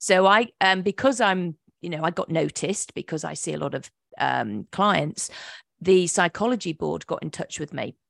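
A woman's fairly low voice with an English accent and vocal fry, over a quiet background. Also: lively intonation, moderate pace, dry, close sound with no echo. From England. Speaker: hypnotherapist. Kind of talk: interview. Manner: halting.

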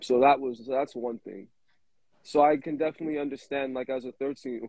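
A man with a New York accent speaks with fairly even intonation. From Brooklyn, New York City. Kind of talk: casual chat.

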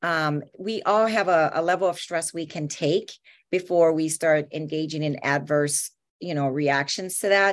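At a very deep, low pitch, a woman speaks at a fairly slow pace with fairly even intonation, on a very clean recording with a silent background. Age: 50s. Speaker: therapist and author. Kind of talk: interview.

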